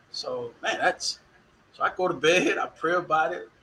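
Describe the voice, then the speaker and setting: Noticeable background noise sits behind a man with an American accent speaking at a fairly slow pace. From Dallas, Texas. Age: 50s. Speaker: university equity director and former football official. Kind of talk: interview. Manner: animated.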